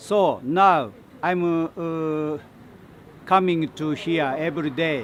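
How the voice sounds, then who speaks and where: A fairly high-pitched man at a very slow pace, with long, frequent pauses and ordinary pitch variation. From Japan, Nagano Prefecture. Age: 60s. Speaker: protester. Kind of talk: interview. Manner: halting.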